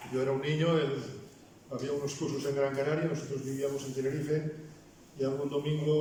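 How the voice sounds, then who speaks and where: Through noticeable background noise and audible room echo, a man with a Basque accent speaks fairly quickly in a fairly high pitch with monotone, flat intonation. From Basque Country. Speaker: pastor. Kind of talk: sermon. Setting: church.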